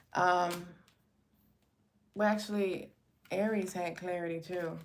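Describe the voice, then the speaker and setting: There is audible room echo around a woman who speaks at a medium pitch with fairly even intonation. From New York, Brooklyn. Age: 40s. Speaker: tarot reader. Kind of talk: live stream tarot reading, casual chat. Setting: live stream. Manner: casual, chatty.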